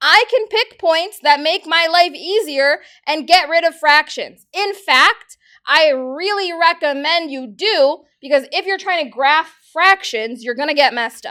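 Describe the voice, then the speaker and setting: At a fairly slow pace, a woman projects her extremely high, bright, sharp voice with lively intonation in a very clean recording with a silent background. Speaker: math teacher. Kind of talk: classroom lecture.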